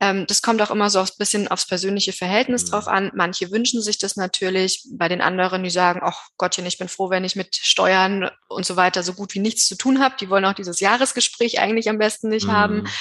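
Speaking at a fairly quick pace with hardly any pauses, a woman uses a medium pitch. Her intonation is fairly even. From Bavaria, Germany. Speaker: tax advisor. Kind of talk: interview. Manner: hesitant with many fillers.

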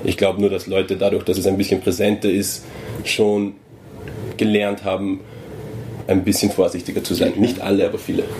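A man in an Austrian accent speaks at a moderate pace with a fairly low pitch and monotone, flat intonation, leaving long, frequent pauses amid noticeable background noise. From Upper Austria, near Salzburg border. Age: 20s. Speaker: journalist. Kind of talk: casual chat. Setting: indoors at a venue.

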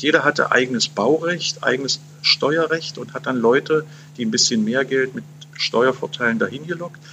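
A man speaks at a moderate pace with a bright, sharp tone, fairly high pitch and ordinary pitch variation. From Saxony-Anhalt, eastern Germany. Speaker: journalist. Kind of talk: interview. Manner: halting, many fillers.

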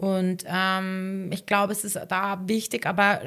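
Someone speaks with a Bavarian accent on a very clean recording with a silent background. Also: woman. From Upper Bavaria, Garmisch-Partenkirchen district. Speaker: sport psychologist and former freestyle skier. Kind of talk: casual interview.

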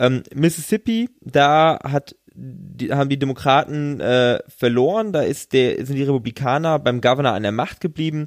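A man with a plain, everyday voice speaks at a moderate pace and a fairly high pitch, with ordinary pitch variation. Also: hardly any pauses. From western Germany. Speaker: podcast co-host on US politics. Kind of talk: casual chat.

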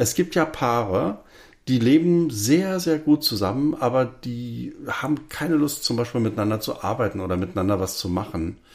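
Recorded very cleanly with a silent background, a man speaks with very wide pitch swings. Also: medium pitch for a man, moderate pace. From Berlin. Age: 50s. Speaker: podcast co-host, filmmaker. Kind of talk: casual chat.

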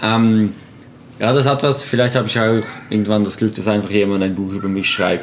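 At a moderate pace, a man with a fairly low pitch talks in a plain, everyday voice. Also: fairly even intonation. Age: 20s. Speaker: photographer and wheelchair user. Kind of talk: casual interview.

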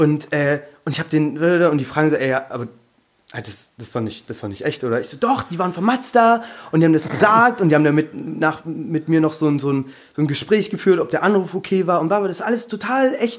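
A man's very fast speech, fairly high in pitch, with lively intonation. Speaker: podcast guest. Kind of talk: casual chat. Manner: talkative.

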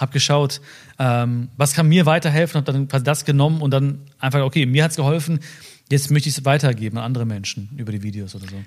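This man talks very fast with a fairly high pitch, ordinary pitch variation and a somewhat breathy quality, on a very clean recording with a silent background. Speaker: social media personality. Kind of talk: casual interview chat.

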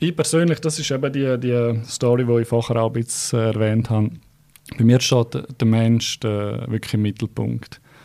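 Using a Graubünden accent, a man speaks at a medium pitch with fairly even intonation and a dark, mellow tone. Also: moderate pace. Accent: Bündner Swiss German. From Switzerland, Graubünden. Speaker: real estate agent. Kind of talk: interview. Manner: hesitant, many fillers.

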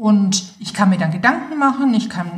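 Her voice is an ordinary speaking voice, and the woman talks at medium pitch with ordinary pitch variation. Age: 50s. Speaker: nurse and end-of-life doula. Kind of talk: interview. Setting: studio.

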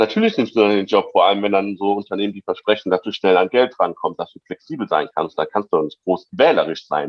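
A man talks at a very fast pace with hardly any pauses, his loudness swinging widely. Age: 20s. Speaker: activist and delivery rider organizer. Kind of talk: podcast interview.

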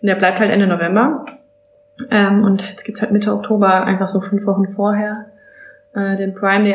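Over noticeable background noise, a woman speaks at medium pitch and a fairly quick pace. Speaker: Amazon seller consultant. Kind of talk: casual chat.

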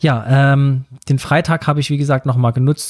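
A man speaks with a dark, mellow tone. The recording is very clean, with a silent background. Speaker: podcast host and wedding speaker. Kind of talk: solo podcast monologue.

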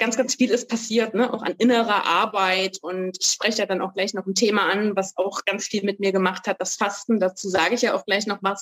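The voice moves at a fairly quick pace in monotone, flat intonation, with a dry, close sound and no echo. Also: woman, medium pitch for a woman. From eastern Germany, Saxony-Anhalt. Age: 40s. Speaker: author. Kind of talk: podcast interview.

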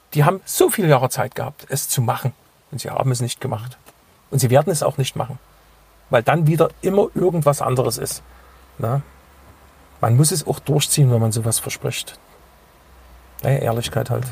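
With ordinary pitch variation and a fairly high pitch, a man talks at a fairly quick pace but with long, frequent pauses. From Saxony, Dresden. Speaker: radio DJ and local politician. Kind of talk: casual interview.

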